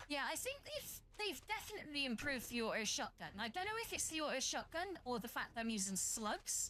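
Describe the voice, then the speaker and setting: This voice, with an English accent, moves at a fairly quick pace with hardly any pauses. Its pitch swings very widely while its loudness stays very even. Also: woman, high pitch for a woman. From southern England. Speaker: VTuber streamer. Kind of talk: casual game-stream chat. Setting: live stream. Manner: chatty, rambling with fillers.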